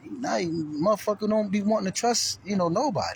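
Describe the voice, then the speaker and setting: A man talks in a high pitch with lively intonation and an animated tone. Noticeable background noise sits behind him. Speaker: vlogger. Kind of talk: casual vlog monologue. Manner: fast.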